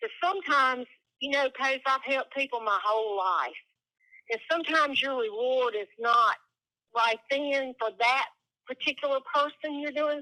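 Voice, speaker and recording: Raised and projected, a woman's high voice has a bright, sharp tone, a moderate pace and ordinary pitch variation, with a dry, close sound and no echo. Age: 60s. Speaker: home seller. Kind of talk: phone call negotiation.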